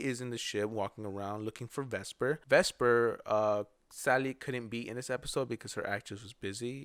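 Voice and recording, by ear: Here a text is read aloud in a natural voice.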